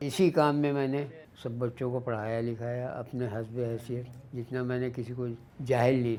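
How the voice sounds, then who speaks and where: A man's medium-pitched voice in monotone, flat intonation. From India, Lucknow. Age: 80s+. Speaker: embroidery craftsman. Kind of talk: personal testimony.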